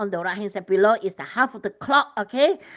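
A woman with a Chinese accent speaks at a fairly high pitch, with ordinary pitch variation. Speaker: religious vlogger. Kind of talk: sermon-style vision sharing. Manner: hesitant with fillers.

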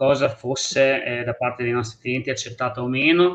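A man talks fairly slowly, his intonation staying fairly even. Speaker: restaurant owner; guest. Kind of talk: talk show discussion. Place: home room. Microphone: unstable connection; video call.

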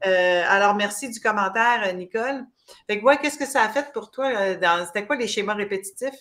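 At a moderate pace, a woman speaks in a fairly high, bright and sharp voice with ordinary pitch variation. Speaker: talk show host. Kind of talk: interview. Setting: livestream video. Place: home room. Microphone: webcam.

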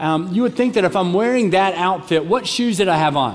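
Lively intonation marks a man's speech at a moderate pace. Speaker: pastor. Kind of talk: sermon. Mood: humorous, warm. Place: church. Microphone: headset.

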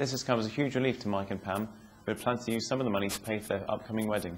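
There is light background noise. Over it, a man speaks at a very fast pace. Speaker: news presenter. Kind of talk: local TV newsreading, scripted bulletin. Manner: brisk, polished, even-toned delivery with upbeat sign-off. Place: street. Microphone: lapel.

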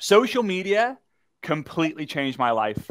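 A man at a moderate pace, lively intonation, quiet background. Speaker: workshop host. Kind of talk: livestream workshop talk, personal story. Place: studio.

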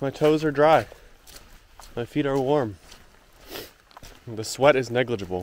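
A man speaks at a fairly slow pace with ordinary pitch variation, the sound dry with no echo and light background noise behind him. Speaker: thru-hiker vlogger. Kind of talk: casual vlog chat. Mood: cheerful. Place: forest. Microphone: phone near.

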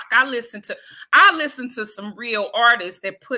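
Over a quiet background, a bright, sharp voice moves at a moderate pace with lively intonation. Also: woman. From Detroit. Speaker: spoken word artist; guest. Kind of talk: interview. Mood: passionate, critical. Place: home room.

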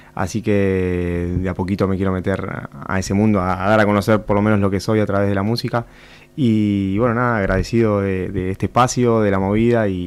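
A man talks at a fairly quick pace with a fairly low pitch and fairly even intonation. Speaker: musician; guest. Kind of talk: radio interview. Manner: calm. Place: studio. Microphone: studio mic.

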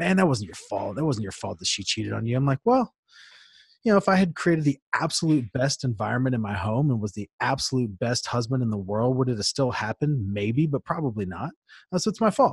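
A man with lively intonation, a fairly quick pace and a somewhat breathy voice, in a dry sound with no echo and a quiet background. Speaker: podcast guest. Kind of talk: interview answer. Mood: reflective, earnest. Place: studio. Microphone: studio mic.

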